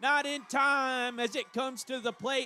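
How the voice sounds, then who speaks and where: A man's raised, projected voice with a bright, sharp tone and a dry, close sound free of echo. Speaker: play-by-play radio announcer. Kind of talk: live sports commentary. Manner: animated; loud.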